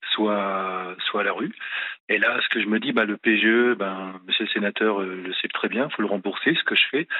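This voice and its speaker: This man has an ordinary speaking voice with a fairly low pitch. His pace is fairly slow. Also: ordinary pitch variation. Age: 50s. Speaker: business owner. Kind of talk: radio call-in. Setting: phone call.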